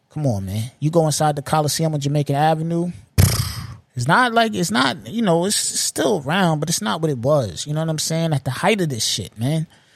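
Speaking with a New York accent, a man talks fairly quickly at a fairly high pitch with lively intonation. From Long Island, New York. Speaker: podcast host. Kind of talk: casual monologue. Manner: repetitive.

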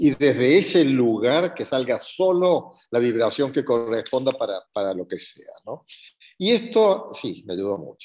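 A man speaks at a fairly slow pace with a Cordoban Argentine accent, his fairly high voice making very wide pitch swings and big swings in loudness. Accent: Argentine (Cordoba) Spanish. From Argentina, Córdoba. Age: 70s. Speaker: retired course graduate. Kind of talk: interview testimony. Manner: halting.

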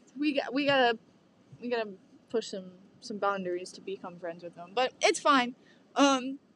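A woman's fairly high voice with lively intonation and big swings in loudness, at a moderate pace with long, frequent pauses. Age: young. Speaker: college student podcast host. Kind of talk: casual chat.

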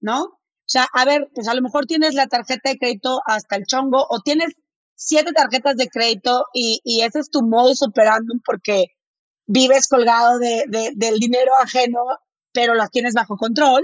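A woman with a northern Mexican accent speaks at a high pitch and a moderate pace. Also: ordinary pitch variation. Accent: northern Mexican, blunt-sounding. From Mexico, Monterrey. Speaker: finance educator. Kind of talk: interview.

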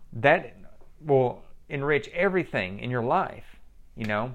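An unremarkable speaking voice, this man's is medium in pitch with lively intonation. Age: 40s. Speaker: personal trainer and gym owner. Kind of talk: motivational monologue.

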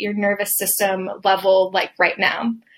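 A woman speaks at a moderate pace in an unremarkable speaking voice. The recording is very clean, with a silent background. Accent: American. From Atlanta, Georgia, US South. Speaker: occupational therapist and podcaster. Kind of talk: podcast solo talk, live-style presentation.

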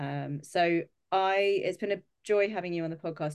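Against a quiet background, a normal speaking voice is heard. It moves at a moderate pace with fairly even intonation. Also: woman. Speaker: podcast host. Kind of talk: casual interview chat.

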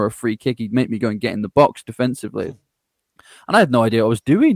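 A medium-pitched man at a very fast pace, the sound dry and close with no echo. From England. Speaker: growth strategist and podcaster. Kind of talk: interview conversation.

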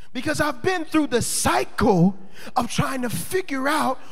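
A man talks in an animated tone at an extremely high pitch with very wide pitch swings. Noticeable background noise and audible room echo are in the recording. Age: 20s. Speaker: pastor. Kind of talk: sermon.

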